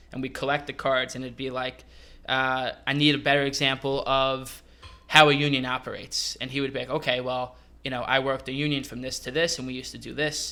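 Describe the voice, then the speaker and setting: A man with a New York accent, medium pitch and a bright, sharp tone, monotone, flat intonation, a fairly quick pace and big swings in loudness. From New York (Westchester). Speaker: hospitality manager. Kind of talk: casual chat.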